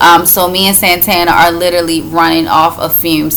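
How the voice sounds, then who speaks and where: A woman speaks with a fairly low pitch. Noticeable background noise and audible room echo surround her voice. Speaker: vlogger. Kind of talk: casual chat.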